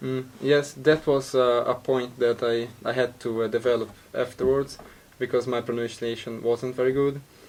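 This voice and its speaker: A man's medium-pitched voice, monotone and flat in intonation, at a moderate pace over noticeable background noise. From Brazil. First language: Portuguese. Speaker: university student. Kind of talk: casual interview. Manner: halting, many fillers and repeats.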